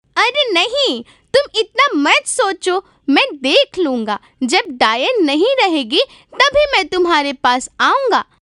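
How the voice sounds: This cartoonish character voice sits at an extremely high pitch, moving very slowly through very wide pitch swings.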